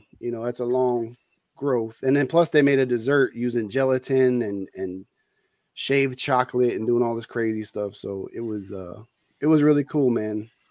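Recorded very cleanly against a silent background, a man speaks in an ordinary speaking voice at medium pitch and a moderate pace, with ordinary pitch variation. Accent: American. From US West Coast, San Francisco Bay Area. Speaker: retired soldier, culinary instructor and part-time reseller. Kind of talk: casual chat.

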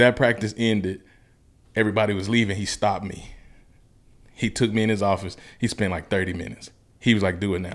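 Speaking very fast yet with long, frequent pauses, a man with a Southern US accent uses a fairly low pitch. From US South, Mississippi. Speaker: motivational speaker. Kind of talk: casual interview. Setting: studio. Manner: animated.

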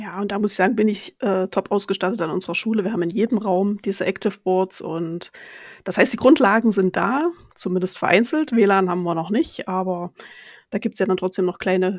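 A woman speaks in an ordinary speaking voice at medium pitch and a fairly quick pace, with ordinary pitch variation. The recording is very clean, with a silent background and a dry, close sound with no echo. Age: 40s. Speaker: teacher. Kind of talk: casual interview.

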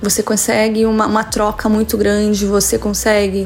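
With noticeable background noise behind her, a woman talks at a fairly slow pace with a medium pitch and monotone, flat intonation. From Brazil, São Paulo state (Santo André). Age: 40s. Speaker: music teacher and musician. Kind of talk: interview.

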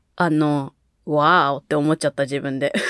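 A woman speaks in an animated tone. The sound is dry and close with no echo. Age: 20s. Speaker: podcast co-host. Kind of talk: casual chat. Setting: remote recording over video call. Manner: animated, laughing often.

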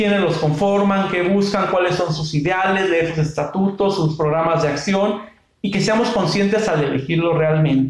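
In a Mexican accent, a man speaks at a moderate pace and high pitch with ordinary pitch variation, very even loudness and hardly any pauses, with audible room echo. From Mexico, Michoacán. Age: 20s. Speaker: university lecturer and civil servant. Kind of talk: interview.

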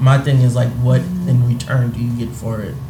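Music in the background behind a man's medium-pitched voice, his intonation fairly even. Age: 20s. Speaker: podcast co-host. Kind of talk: casual chat.

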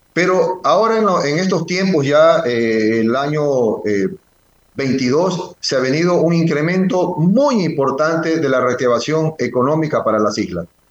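A man with a fairly high pitch speaks at a fairly slow pace, his intonation lively, and audible room echo around him. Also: very even loudness. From Ecuador, Galápagos Islands. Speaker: mayor. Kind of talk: phone interview.

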